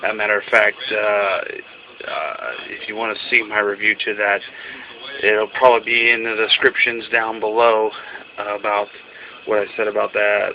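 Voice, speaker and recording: Noticeable background noise behind a man's fairly slow speech. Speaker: film collector video reviewer. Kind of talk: casual video review. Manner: halting, with stutters and fillers.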